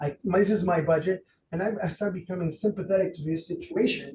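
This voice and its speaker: Speaking at a moderate pace, a man uses a high pitch and an animated tone. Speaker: realtor leading a negotiation workshop. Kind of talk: interactive workshop talk. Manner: animated, with many false starts and repetitions.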